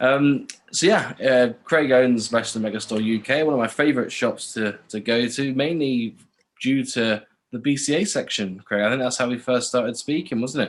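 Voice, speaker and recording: A man speaks in a Cornish accent. His pitch variation is ordinary. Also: medium pitch for a man, moderate pace. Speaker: podcast host. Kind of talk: interview.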